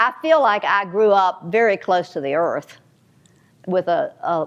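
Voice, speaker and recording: In a Southern US accent, a woman is speaking. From US South, North Carolina. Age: 70s. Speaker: novelist. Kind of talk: author talk with audience. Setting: library event with audience. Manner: halting, with many repetitions.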